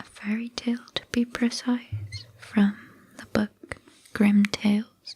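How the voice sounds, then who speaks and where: The voice is soft-spoken, moving at a very slow pace. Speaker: ASMR creator. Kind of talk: casual introduction to viewers.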